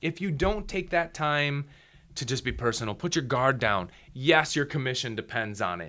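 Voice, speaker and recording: Fairly high for a man, an animated voice with very wide pitch swings at a moderate pace. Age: 30s. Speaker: photographer and video production business owner. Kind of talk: casual interview chat.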